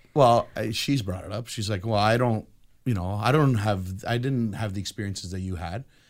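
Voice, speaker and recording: A man with an unremarkable speaking voice, fairly low in pitch, with ordinary pitch variation and a moderate pace. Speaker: married guest. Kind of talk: casual panel chat.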